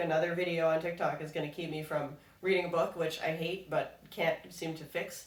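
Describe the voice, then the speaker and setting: The room has an audible echo. Background noise is noticeable. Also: woman. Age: 30s. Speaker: goldsmith and podcast co-host. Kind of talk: casual chat.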